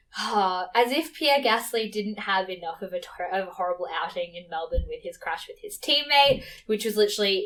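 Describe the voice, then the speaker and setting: Speaking with an Australian accent, a woman uses a medium pitch and lively intonation. She talks at a fairly quick pace. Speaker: podcast host, Formula 1 fan. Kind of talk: casual solo podcast chat. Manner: fast.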